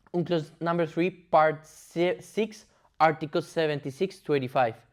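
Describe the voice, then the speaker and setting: A man with a Spanish accent speaks at a moderate pace in a fairly high voice. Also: quiet background. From Colombia. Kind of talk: explainer presentation. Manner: halting, with fillers and restarts.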